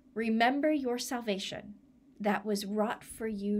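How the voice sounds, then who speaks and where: Over light background noise, a woman speaks with a gentle, solemn tone at a fairly slow pace. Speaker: church minister leading a service. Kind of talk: blessing prayer, pastoral benediction. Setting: online church video. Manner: slow, gentle and solemn, measured pastoral cadence; warm, reflective, reassuring. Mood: warm, gentle, smiling. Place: home room. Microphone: phone near.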